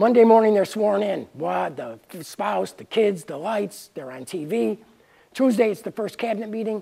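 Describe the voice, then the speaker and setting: A man's high-pitched voice with a dark, mellow tone, an American accent, ordinary pitch variation and big swings in loudness. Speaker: independent presidential candidate. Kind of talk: campaign speech. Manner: fast; halting, many fillers.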